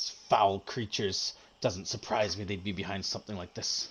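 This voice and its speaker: A man puts on a character voice with a fairly low pitch. He growls and hisses. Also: moderate pace. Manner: hissing, contemptuous.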